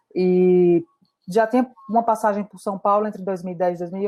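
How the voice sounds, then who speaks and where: A woman's medium-pitched voice in a northeastern Brazilian accent, fairly quick and monotone, with flat intonation. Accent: northeastern Brazilian Portuguese, noticeable. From Brazil, Natal, Rio Grande do Norte. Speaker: entrepreneur and community mentor. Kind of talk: virtual community meetup talk.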